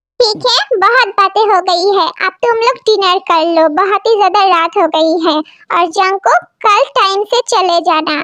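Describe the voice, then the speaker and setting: A woman puts on a character voice, pitched extremely high, with ordinary pitch variation. She keeps a moderate pace. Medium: fan dub. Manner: firm, scolding.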